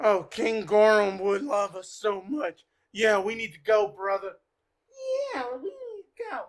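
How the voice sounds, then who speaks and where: A squeaky, female-sounding put-on character voice talks at a fairly slow pace with a fairly high pitch. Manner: trying to sound intimidating, failing.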